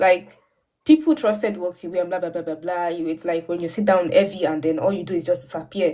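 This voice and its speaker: A woman speaks at a fairly quick pace. Her tone is dark and mellow, and her pitch fairly low. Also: ordinary pitch variation. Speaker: livestream guest speaker. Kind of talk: personal talk on a livestream. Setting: livestream. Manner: halting.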